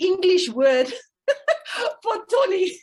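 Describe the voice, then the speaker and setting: A woman speaks with a South African accent. Her pitch makes very wide swings. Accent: Afrikaans South African English. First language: Afrikaans. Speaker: parenting coach. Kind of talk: interview. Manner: halting.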